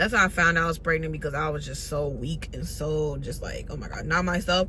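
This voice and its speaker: A woman speaks in an animated tone, with audible room echo and noticeable background noise. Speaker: vlogger. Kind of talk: storytime vlog. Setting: in a car. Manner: loud.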